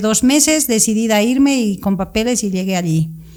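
The delivery is at a moderate pace. It is an unremarkable speaking voice. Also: woman. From Bolivia, Sucre. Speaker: pediatric pulmonologist. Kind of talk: casual interview. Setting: studio.

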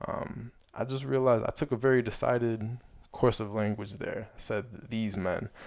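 A man at medium pitch with a normal speaking voice, fairly even intonation and a moderate pace. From Chicago area, US. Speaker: podcast host. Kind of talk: solo commentary with read-aloud essay. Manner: casual with filler words.

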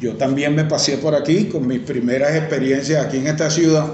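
Noticeable background noise and audible room echo surround the recording. The speaker is a man with a fairly high pitch. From Venezuela, Caracas. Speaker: veterinarian. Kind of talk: casual chat.

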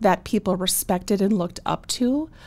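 A woman with an Upper Midwest accent speaks at a moderate pace and medium pitch. The recording is very clean, its background silent. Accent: Upper Midwest American. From North Dakota (Bismarck). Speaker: small business owner. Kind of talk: interview.

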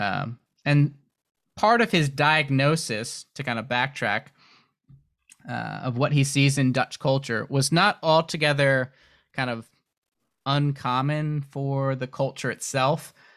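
Speaking fairly slowly with long, frequent pauses, a man with a fairly high pitch is heard on a very clean recording against a silent background. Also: ordinary pitch variation. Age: 30s. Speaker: book translator and editor. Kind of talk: casual interview. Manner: uses frequent filler words.

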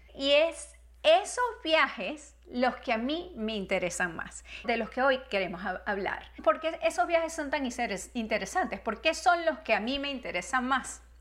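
A woman speaks at a fairly slow pace and a high pitch. Her pitch swings very widely over noticeable background noise. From Venezuela. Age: 40s. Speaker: podcast host and travel coach. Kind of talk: reflective monologue.

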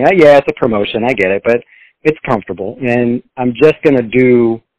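Medium in pitch, a man has a plain, everyday voice with an American accent and ordinary pitch variation. He moves at a fairly quick pace in a dry, close sound with no echo. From Texas. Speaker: financial planner. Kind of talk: interview conversation.

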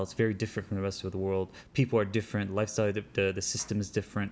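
This man has an Arabic accent. He speaks in a fairly low pitch. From Libya, then Europe, North Africa and US East Coast. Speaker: podcast guest telling life story. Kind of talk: casual chat. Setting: outdoors retreat by a lake.

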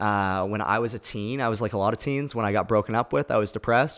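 Talking at a very fast pace, a man keeps a fairly low pitch and fairly even intonation. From Nova Scotia, Canada (Halifax). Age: 20s. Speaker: pastor. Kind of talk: casual chat.

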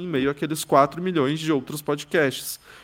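A man with a normal speaking voice, fairly even intonation and a moderate pace. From São Paulo, Brazil. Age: 20s. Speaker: journalist and podcast specialist. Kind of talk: interview conversation.

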